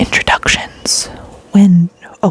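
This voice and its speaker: A woman speaks very slowly in a dry, close recording with no echo, though background noise is noticeable. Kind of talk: casual talk to camera.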